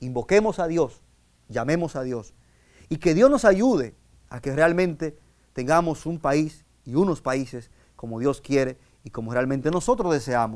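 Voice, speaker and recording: A fairly high-pitched man at a fairly slow pace, with lively intonation, big swings in loudness and long, frequent pauses, over a quiet background. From Dominican Republic. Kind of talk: sermon. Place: studio.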